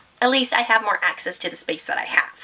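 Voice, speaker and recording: A woman with a high voice speaks at a fairly quick pace against noticeable background noise. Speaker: lifestyle vlogger. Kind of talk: casual vlog talk.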